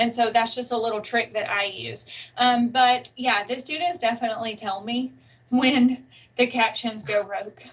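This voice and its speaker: A woman with a Southern US accent, fairly high in pitch, fairly even in intonation, at a moderate pace. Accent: very Southern. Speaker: college English instructor. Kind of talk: webinar presentation.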